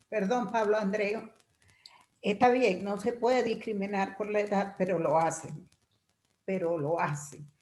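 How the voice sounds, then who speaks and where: A woman talks at a medium pitch with ordinary pitch variation and long, frequent pauses. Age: 60s. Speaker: workshop participant. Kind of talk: group discussion comment.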